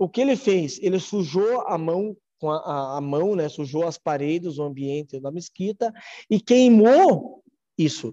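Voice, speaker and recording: Speaking at a fairly slow pace, a man with a high pitch and dark, mellow tone uses lively intonation in a dry, close sound with no echo. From Brazil, Ponta Grossa, Paraná. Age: 30s. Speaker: mosque president. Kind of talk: interview. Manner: halting.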